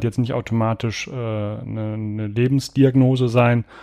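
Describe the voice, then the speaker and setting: A dark, mellow tone with fairly even intonation comes through at a moderate pace against a quiet background. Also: man. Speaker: podcast host. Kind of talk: casual chat.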